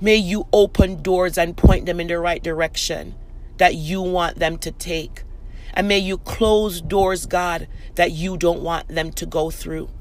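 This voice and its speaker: Noticeable background noise runs under a fairly slow delivery. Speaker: prayer podcast host. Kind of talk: fervent prayer, intercessory pleading. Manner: earnest, impassioned, pleading; rhythmic, repetitive phrasing.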